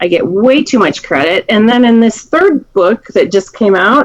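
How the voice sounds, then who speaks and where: A woman speaks at a moderate pace in a high pitch. Her intonation is lively. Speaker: county prosecutor. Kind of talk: talk to a seniors group. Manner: loud; clear, speaks up.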